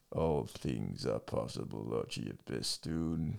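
A man puts on a character voice, very deep and rumbling, speaking at a fairly slow pace with lively intonation.

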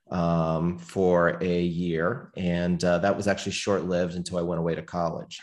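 The speech moves at a moderate pace in a monotone, flat intonation, with hardly any pauses. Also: man, very deep, low pitch for a man. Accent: American. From US Northeast, near Pittsburgh, Pennsylvania. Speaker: company CEO. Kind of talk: interview.

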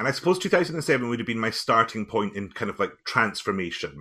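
A man with a Highland Scottish accent speaks at a fairly low pitch in a bright, sharp tone with very wide pitch swings, on a very clean recording with a silent background. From Scottish Highlands. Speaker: musician and teacher. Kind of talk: interview conversation.

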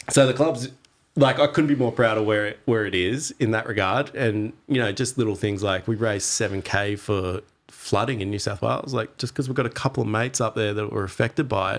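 With an Australian accent, a man talks at a fairly quick pace with a medium pitch. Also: ordinary pitch variation. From Australia, Torquay, Victoria. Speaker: surfer and surf club member. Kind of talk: casual chat.

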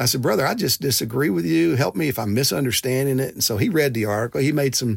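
A man's plain, everyday voice with ordinary pitch variation, at a fairly quick pace, dry and close with no echo in a very clean recording against a silent background. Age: 60s. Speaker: pastor and denominational presidential candidate. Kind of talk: interview.

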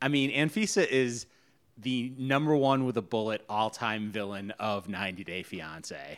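On a very clean recording with a silent background, a man of medium pitch talks at a moderate pace with ordinary pitch variation in a normal speaking voice. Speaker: podcast host. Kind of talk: casual chat between spouses.

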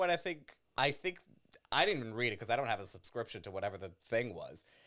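A Californian accent at a very fast pace. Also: man. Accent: general American, Californian. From Los Angeles, US. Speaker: comedian. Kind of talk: casual chat.

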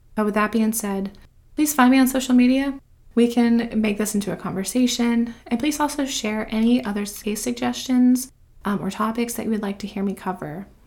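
Talking at a fairly quick pace, a somewhat breathy woman with an American accent has a fairly high pitch and ordinary pitch variation. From South Carolina coast (Myrtle Beach). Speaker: true crime podcaster. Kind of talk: scripted narration.

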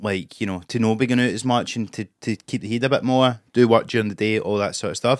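A man with a Scottish accent at a medium pitch and fairly even intonation, in a dry, close sound with no echo on a very clean recording with a silent background. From Scotland. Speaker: comedian. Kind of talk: casual chat.

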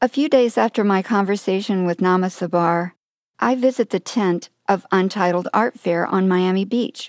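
A woman speaks in an ordinary speaking voice at a medium pitch with ordinary pitch variation and a moderate pace. The sound is dry and close, with no echo. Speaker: radio host. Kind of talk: radio interview.

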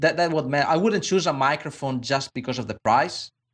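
With a non-native accent and ordinary pitch variation, a man speaks over a quiet background. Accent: foreign. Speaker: sound designer. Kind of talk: casual chat.

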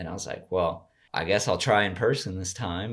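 In a very clean recording with a silent background, a man with an American accent and an ordinary speaking voice talks at a fairly slow pace and fairly low pitch, with ordinary pitch variation. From Colorado, US. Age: 20s. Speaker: podcast guest. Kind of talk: casual chat.

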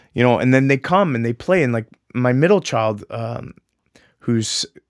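With a plain, everyday voice, a man talks at a medium pitch with lively intonation, recorded very clean against a silent background in a dry, close sound with no echo. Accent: Canadian. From Ontario, Canada (Mississauga). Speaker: martial arts instructor and realtor. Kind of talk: casual interview chat.

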